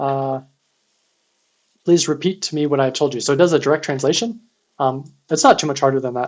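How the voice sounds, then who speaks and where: Speaking at a fairly quick pace, a man with a fairly high pitch uses ordinary pitch variation and leaves long, frequent pauses. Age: 30s. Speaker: security researcher streaming CTF writeups. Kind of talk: live-streamed tutorial. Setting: live stream. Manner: fast; casual with frequent fillers.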